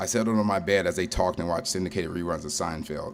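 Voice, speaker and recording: A man with an American accent talks at a fairly quick pace in a very deep, low pitch. His pitch varies in an ordinary way, and room echo is audible. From Ohio, Cleveland area. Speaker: storyteller, military veteran. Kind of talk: live storytelling performance. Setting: stage with audience at a brewery.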